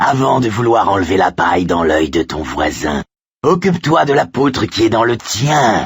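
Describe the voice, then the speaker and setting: A man puts on a character voice, growling and rumbling at a medium pitch. His pitch swings very widely at a moderate pace. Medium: read story. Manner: growling, mocking.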